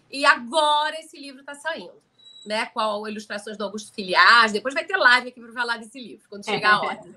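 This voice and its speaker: Big swings in loudness mark a woman's fairly quick speech, and her intonation is lively. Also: fairly high pitch for a woman. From Rio de Janeiro, Brazil. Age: 60s. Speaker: author and storyteller. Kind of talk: live stream chat about her book. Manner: informal, conversational.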